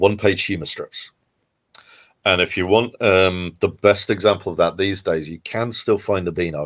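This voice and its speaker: With an English accent, a man speaks at a very deep, low pitch and a moderate pace. His intonation is fairly even, and the recording is very clean with a silent background. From southern England, near Guildford. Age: 40s. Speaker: comic book creator. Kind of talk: interview. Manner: halting, many fillers.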